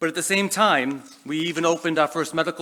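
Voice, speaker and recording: Speaking at a very fast pace, a man talks with a Boston accent. His pitch is fairly high, with ordinary variation. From Boston, US. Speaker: education leader. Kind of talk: keynote speech. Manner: hesitant, many fillers.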